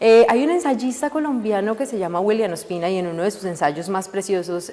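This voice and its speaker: A woman of medium pitch talks at a fairly quick pace with lively intonation while noticeable background noise plays. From Colombia, Pereira (coffee region). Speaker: philologist. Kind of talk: interview.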